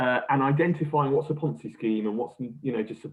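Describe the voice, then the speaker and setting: Here is a man with a British accent and ordinary pitch variation. He talks at a very fast pace. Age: young. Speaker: crime agency official. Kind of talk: interview. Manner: hesitant, many fillers.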